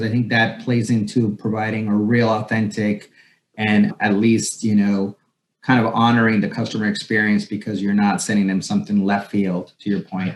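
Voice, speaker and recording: The voice is a plain, everyday voice. It moves at a moderate pace. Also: man. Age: 40s. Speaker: podcast host. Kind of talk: casual interview chat.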